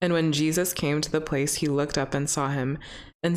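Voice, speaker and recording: A woman's very deep, low voice with an American accent and fairly even intonation. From US Pacific Northwest. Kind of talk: casual chat. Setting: recording studio with mics.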